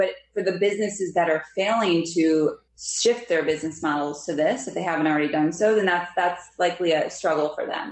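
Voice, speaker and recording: With an American accent, a woman talks in an unremarkable speaking voice, fairly low in pitch, with ordinary pitch variation. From Pennsylvania, near Philadelphia. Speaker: investment specialist. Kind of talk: interview.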